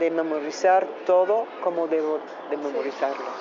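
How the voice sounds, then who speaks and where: A woman speaks at a moderate pace in an American accent. Noticeable background noise can be heard. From United States. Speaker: actress and model. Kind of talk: interview. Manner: halting, non-native phrasing.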